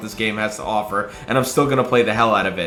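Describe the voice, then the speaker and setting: A man's animated tone comes through at a very fast pace amid noticeable background noise. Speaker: gaming youtuber. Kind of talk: reaction commentary.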